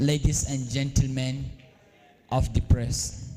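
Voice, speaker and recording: A man with a northern Nigerian accent speaks at a medium pitch in monotone, flat intonation. His tone is dark and mellow, and somewhat breathy. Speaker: event organizer. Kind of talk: opening speech. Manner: hesitant, many fillers.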